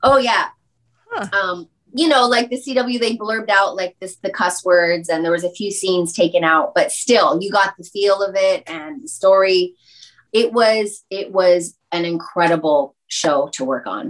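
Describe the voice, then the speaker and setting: In an unremarkable speaking voice, the speaker goes at a fairly slow pace with lively intonation. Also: woman, medium pitch for a woman. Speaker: entertainer, DJ and actress. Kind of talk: casual interview chat.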